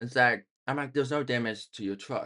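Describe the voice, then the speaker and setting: Speaking at a moderate pace, a man with a medium pitch and a bright, sharp tone is heard against a quiet background. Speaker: vlogger. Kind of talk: storytelling vlog. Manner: hesitant, many fillers; casual.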